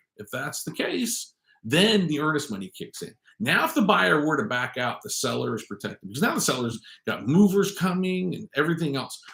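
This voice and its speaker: Talking at a fairly quick pace, a man has a fairly high pitch, a bright, sharp tone and vocal fry. Both his pitch and his loudness swing widely. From US West Coast (San Francisco Bay Area). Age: 50s. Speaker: real estate agent and vlog host. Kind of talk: casual talk-to-camera livestream.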